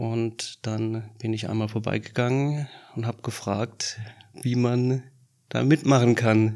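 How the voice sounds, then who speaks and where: A man at medium pitch speaks very slowly with monotone, flat intonation. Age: 40s. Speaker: disaster relief volunteer. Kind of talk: interview.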